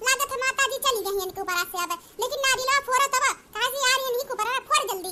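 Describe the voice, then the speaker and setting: A woman's cartoonish character voice, extremely high-pitched and very fast, with ordinary pitch variation. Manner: bossy, hurried.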